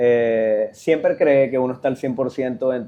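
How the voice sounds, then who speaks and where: A man speaks fairly slowly in an unremarkable speaking voice, with a medium pitch and fairly even intonation. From Venezuela, Sucre state. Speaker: professional footballer. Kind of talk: interview.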